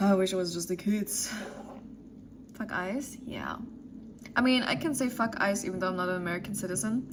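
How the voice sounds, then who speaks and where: The speaker has a German accent and takes long, frequent pauses. Noticeable background noise and audible room echo fill the recording. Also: woman, medium pitch for a woman, ordinary pitch variation, fairly quick pace. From Germany. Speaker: streamer. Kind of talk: casual chat. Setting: live stream.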